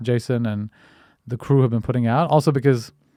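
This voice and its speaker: Dark, mellow tone with an Indian accent and fairly even intonation, on a very clean recording with a silent background. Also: man. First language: Hindi. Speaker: podcast host. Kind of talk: casual interview chat. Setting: in person. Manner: halting, many fillers and repetitions.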